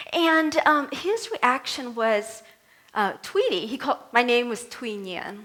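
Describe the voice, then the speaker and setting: A woman speaks at a fairly slow pace with a Vietnamese accent. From Vietnam, raised in US. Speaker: minister. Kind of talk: sermon. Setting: church service.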